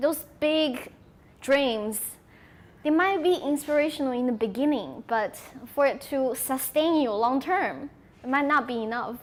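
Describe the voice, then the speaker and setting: In a Sichuan accent, a woman talks at a fairly slow pace with a high pitch for a woman and ordinary pitch variation. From China, Sichuan. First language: Sichuanese Chinese. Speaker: conference speaker. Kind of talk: audience Q&A.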